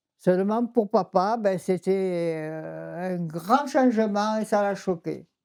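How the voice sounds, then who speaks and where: The speech moves at a very slow pace with hardly any pauses and ordinary pitch variation. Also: woman, medium pitch for a woman. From Châteauneuf-du-Pape, southern France. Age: 80s+. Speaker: winegrower family elder. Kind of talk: interview answer.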